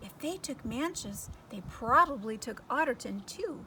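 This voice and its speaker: A woman uses a put-on character voice, pitched high, at a moderate pace. Background noise is clearly audible. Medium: read story.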